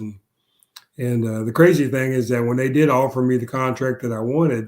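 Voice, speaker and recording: The speech moves at a fairly quick clip. It carries an American accent. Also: man. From Missouri, US Midwest. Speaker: former football player. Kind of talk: interview. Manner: halting, many fillers.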